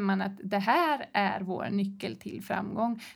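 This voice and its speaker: A woman is speaking. She talks at a fairly slow pace. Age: 40s. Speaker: tech company founder and leadership expert. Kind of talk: casual interview. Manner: animated.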